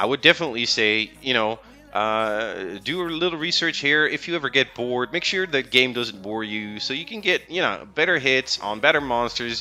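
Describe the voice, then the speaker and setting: Over music in the background, a man at medium pitch speaks at a moderate pace with lively intonation. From Netherlands. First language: Dutch. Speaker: gaming streamer. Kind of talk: live stream chat. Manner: casual, hesitant with fillers.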